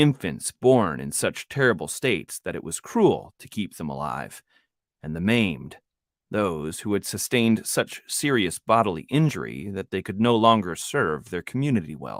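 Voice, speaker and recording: On a very clean recording with a silent background and a dry, close sound with no echo, a man with a fairly low pitch uses vocal fry, very wide pitch swings and big swings in loudness. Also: moderate pace. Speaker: author and audiobook narrator. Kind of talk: audiobook narration. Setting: home studio.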